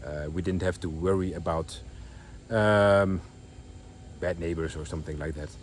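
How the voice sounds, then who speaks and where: A man with a Dutch accent speaks at a moderate pace in a very deep, low voice, with ordinary pitch variation and long, frequent pauses. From Netherlands. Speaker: vlogger. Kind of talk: casual vlog. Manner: halting, many fillers.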